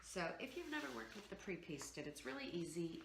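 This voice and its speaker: A woman's voice comes through with noticeable background noise and audible room echo as she talks at a moderate pace. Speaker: DIY home decor vlogger. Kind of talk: tutorial. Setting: at home. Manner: casual, halting with fillers.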